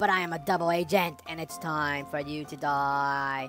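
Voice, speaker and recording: A robotic put-on character voice at a low-to-middle pitch and moderate pace, with clear music in the background. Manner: menacing.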